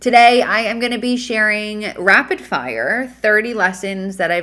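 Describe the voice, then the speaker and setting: In an American accent, a woman speaks at a fairly slow pace with a bright, sharp tone. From US Northeast. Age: 30s. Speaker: podcast host. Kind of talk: casual podcast monologue.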